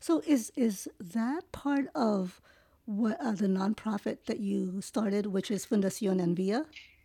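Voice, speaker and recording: A woman speaks at a fairly slow pace in a dark, mellow tone, her medium-pitched voice somewhat breathy and her intonation lively. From Philippines-born, raised in New York. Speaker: podcast host. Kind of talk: interview conversation.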